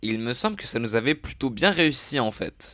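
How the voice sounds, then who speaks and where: Using vocal fry, a man speaks at a medium pitch and a fairly slow pace, his pitch swinging very widely. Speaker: gaming streamer. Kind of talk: live gameplay commentary. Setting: live stream. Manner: hesitant, many fillers; quiet, not shouting.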